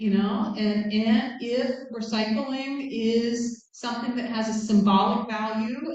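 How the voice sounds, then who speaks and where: A woman with an American accent speaks in a fairly high, monotone, flat voice. Audible room echo surrounds her. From United States. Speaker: guest speaker, academic. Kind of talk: lecture with Q&A. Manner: casual, hesitant with fillers.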